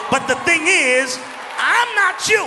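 A man's raised, projected voice with lively intonation, over noticeable background noise. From Brooklyn, New York. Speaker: preacher. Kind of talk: sermon. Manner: excited, intense. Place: church. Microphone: handheld.

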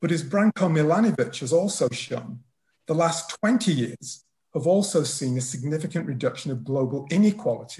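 Lively intonation marks a man's fairly high, dark, mellow voice as he talks at a moderate pace. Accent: Lancashire. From northern England, Wigan. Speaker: political economy professor, discussant. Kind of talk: prepared academic response.

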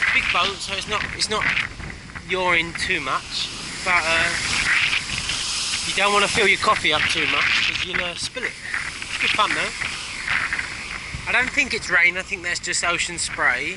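Over loud background noise, a man talks with ordinary pitch variation and long, frequent pauses in a dry sound with no echo. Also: moderate pace. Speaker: traveller vlogger. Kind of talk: casual vlog chat. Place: boat. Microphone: phone near.

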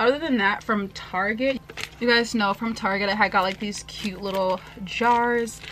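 A woman speaks at a medium pitch with a fairly bright tone. Her pace is moderate and her intonation fairly even.

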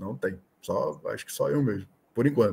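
A man speaks in a somewhat breathy voice. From Brazil, Manaus (Amazonas); Amazonas, Brazil. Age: 30s. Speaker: sports betting tipster; podcast guest. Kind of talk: casual interview. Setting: video call. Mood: relaxed, friendly. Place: home room.

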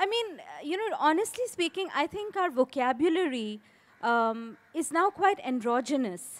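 A woman's high voice swings very widely in pitch as she speaks at a moderate pace. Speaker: author. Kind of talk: panel discussion. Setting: stage with audience. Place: stage. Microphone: handheld.

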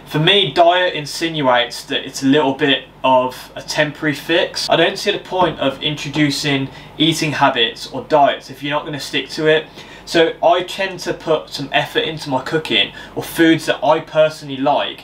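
A man talks at a moderate pace with fairly even intonation over light background noise. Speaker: fitness vlogger. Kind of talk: casual vlog chat. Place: kitchen. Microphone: camera far.

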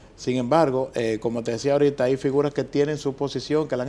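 Delivered at a very fast pace, a man's medium-pitched voice has a dark, mellow tone and fairly even intonation. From Dominican Republic. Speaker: newspaper editor; TV guest. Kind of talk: political commentary. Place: studio. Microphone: lapel.

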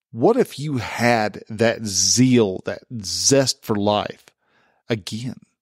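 Recorded very cleanly against a silent background, a man with a medium pitch and a relaxed tone shows ordinary pitch variation in a dry, close sound with no echo. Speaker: certified men's coach and podcast host. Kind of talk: podcast monologue, coaching talk. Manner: relaxed, conversational.

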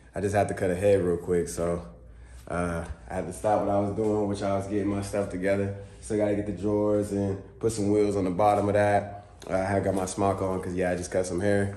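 A dark, mellow tone at a fairly quick pace, with fairly even intonation and audible room echo. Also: man, fairly low pitch for a man. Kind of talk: casual vlog chat. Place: garage. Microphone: phone near.

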